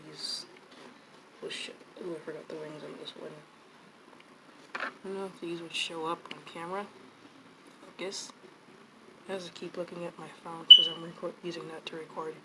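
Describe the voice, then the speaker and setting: At a moderate pace, the speaker delivers monotone, flat speech broken by long, frequent pauses over noticeable background noise. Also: woman, fairly low pitch for a woman. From US, moved around (California, Tennessee, Nevada). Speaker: artist, video creator. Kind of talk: casual chat while painting. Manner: soft-spoken; rambling, hesitant.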